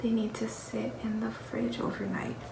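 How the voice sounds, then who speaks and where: The tone is calm. Noticeable background noise sits behind the voice. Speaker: vlogger. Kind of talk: casual vlog narration. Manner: soft-spoken.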